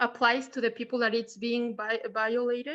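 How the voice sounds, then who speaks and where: With a Mexican accent, a woman speaks at a high pitch. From Mexico. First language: Spanish. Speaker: audience member asking a question. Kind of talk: Q&A question in online talk. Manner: halting, many fillers.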